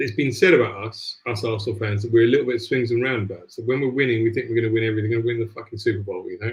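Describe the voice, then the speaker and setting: Spoken at a very fast pace with a Cockney accent, the voice is somewhat breathy and keeps a monotone, flat intonation. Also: man. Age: 50s. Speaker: football podcast host. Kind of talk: casual football chat.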